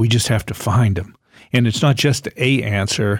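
An unremarkable speaking voice from a man at medium pitch, with ordinary pitch variation, a moderate pace, and a very clean recording over a silent background. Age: 60s. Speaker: natural health doctor. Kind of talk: educational talk on radio show.

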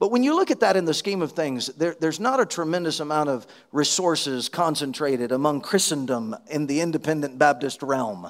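Speaking with a Southern US accent, a man uses a fairly high pitch and lively intonation at a fairly quick pace. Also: hardly any pauses. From Alabama, US South. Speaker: missionary preacher. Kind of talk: sermon. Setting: church conference.

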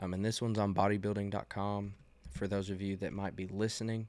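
A man's fairly low, monotone, flat voice at a moderate pace, on a very clean recording with a silent background. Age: 20s. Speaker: fitness podcaster and maintenance technician. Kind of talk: casual monologue. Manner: hesitant with frequent fillers.

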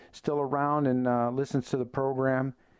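A man with an unremarkable speaking voice, fairly high in pitch, at a moderate pace. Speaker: radio host. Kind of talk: radio host patter. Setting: radio studio. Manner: punchy, confident broadcaster; direct, opinionated.

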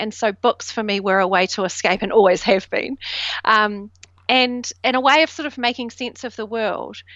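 Speaking with a New Zealand accent, a woman uses fairly even intonation at a fairly high pitch. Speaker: self doubt coach. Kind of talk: interview conversation.

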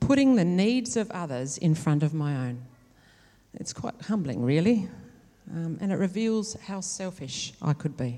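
A woman with an Australian accent speaks at a fairly slow pace with long, frequent pauses. Her dark, mellow tone sits at a fairly low pitch yet makes very wide pitch swings. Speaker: nurse educator. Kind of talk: testimony. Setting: church.

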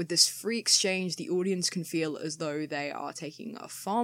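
A woman with vocal fry speaks at a fairly low pitch and with ordinary pitch variation. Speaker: teacher and podcast host. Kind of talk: solo monologue, partly reading an essay. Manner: hesitant, with frequent fillers.

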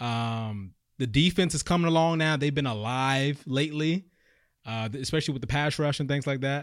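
An ordinary speaking voice comes from a man with a fairly high pitch. He talks at a moderate pace with ordinary pitch variation in a very clean recording with a silent background. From Maryland (DMV area). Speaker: sports podcast co-host. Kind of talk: casual sports chat. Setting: studio.

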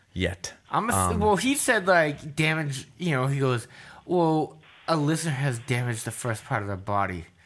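This man, with a Boston accent, speaks fairly slowly at a fairly high pitch, swinging very widely in pitch. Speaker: podcast co-host. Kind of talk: casual, joking banter.

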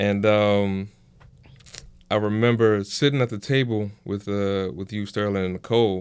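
Fairly low-pitched male voice with fairly even intonation. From Henrico, Virginia. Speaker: restaurant business partner. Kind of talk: casual chat.

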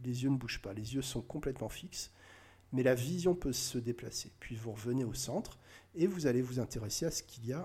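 This man has a medium pitch and a dark, mellow, somewhat breathy tone, with ordinary pitch variation at a moderate pace. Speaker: hypnotist. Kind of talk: tutorial; hypnotic induction demo. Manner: halting.

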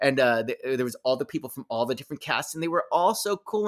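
A man with an ordinary speaking voice has a fairly high pitch and lively intonation. The recording is very clean, with a silent background. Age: 50s. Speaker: shadow cast performer. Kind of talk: casual interview.

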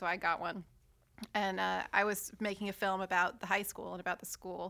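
A woman with an American accent, medium-pitched and bright, sharp in tone, at a very fast pace. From Virginia. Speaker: graduate student. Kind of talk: casual chat.

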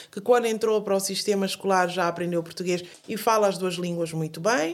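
Talking at a fairly quick pace, a woman uses a medium-pitched voice. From Guinea-Bissau. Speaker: singer and journalist. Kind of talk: interview. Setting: studio. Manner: halting.

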